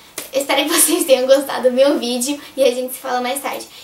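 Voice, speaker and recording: With noticeable background noise, a woman speaks at a high pitch with fairly even intonation. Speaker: youtuber. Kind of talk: casual vlog.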